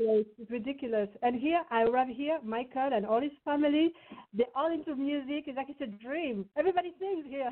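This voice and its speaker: Speaking fairly quickly with a slight French accent, a woman uses a high pitch and ordinary pitch variation. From France, Lyon. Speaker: singer-songwriter. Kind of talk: interview.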